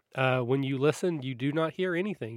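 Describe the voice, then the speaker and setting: Over a silent background in a very clean recording, a man uses an ordinary speaking voice at medium pitch, with ordinary pitch variation and a fairly quick pace. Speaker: podcast host. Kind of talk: casual interview chat.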